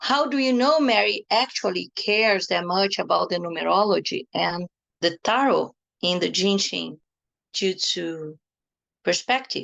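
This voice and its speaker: Speaking with a non-native accent, a woman keeps a fairly slow pace. Her loudness stays very even. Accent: foreign. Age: 50s. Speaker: energy healing teacher and tarot therapist. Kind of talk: online workshop talk.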